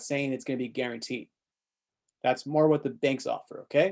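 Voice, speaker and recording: A man with a plain, everyday voice, fairly high in pitch, at a fairly quick pace with fairly even intonation. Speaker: exam tutor. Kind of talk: tutorial. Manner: casual.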